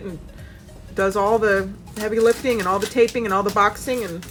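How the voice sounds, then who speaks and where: A woman with a fairly high pitch and a moderate pace, plus noticeable background noise. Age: 30s. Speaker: doll shop owner and vlogger. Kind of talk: casual vlog. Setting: doll shop.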